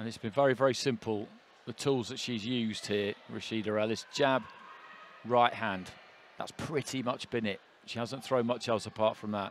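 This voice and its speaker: A man talks in a plain, everyday voice at medium pitch, keeping a moderate pace and fairly even intonation. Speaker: boxing commentator. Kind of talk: live ringside boxing commentary with expert analysis. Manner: flowing, run-on analytical delivery between punches; measured, knowledgeable, calmly confident.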